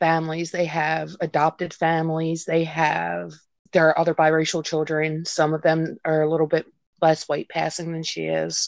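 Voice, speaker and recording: A woman talks in a plain, everyday voice at a moderate pace with a fairly low pitch. The background is quiet. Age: 30s. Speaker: guest, mother of a mixed-race child. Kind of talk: emotional conversation about race and parenting. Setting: remote call with connection drops.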